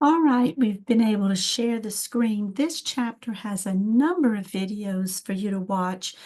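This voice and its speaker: Hardly pausing, a woman speaks at a fairly slow pace in a fairly high, somewhat breathy voice. Her tone is dark and mellow, with ordinary pitch variation. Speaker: college instructor. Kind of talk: lecture.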